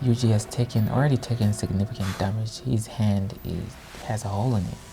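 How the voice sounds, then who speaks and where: Noticeable background noise sits behind speech delivered fairly quickly. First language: not English. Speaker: anime reaction youtuber. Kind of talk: casual reaction commentary.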